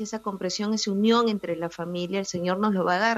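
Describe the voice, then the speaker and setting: A woman of medium pitch speaks with fairly even intonation over noticeable background noise. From Peru, Lima. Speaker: family columnist. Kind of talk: radio interview.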